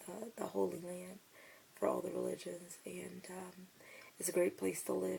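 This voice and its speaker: A woman speaks with an American accent. Background noise is noticeable. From United States. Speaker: vlogger. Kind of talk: casual talk to camera.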